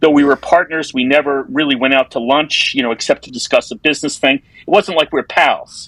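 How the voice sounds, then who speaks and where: A man with a New York accent speaks fairly quickly at a fairly high pitch with lively intonation, in a dry, close sound with no echo. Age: 60s. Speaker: advertising copywriter. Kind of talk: casual interview conversation.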